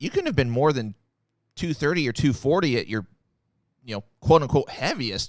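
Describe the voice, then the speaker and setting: Recorded very cleanly with a silent background, a man talks at a moderate pace with ordinary pitch variation. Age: 30s. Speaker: podcast host. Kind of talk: interview.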